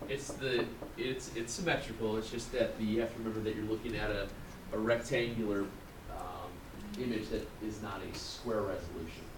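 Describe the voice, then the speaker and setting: Audible room echo and noticeable background noise surround a man speaking at a medium pitch with fairly even intonation. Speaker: math teacher. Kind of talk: classroom lecture. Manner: fast.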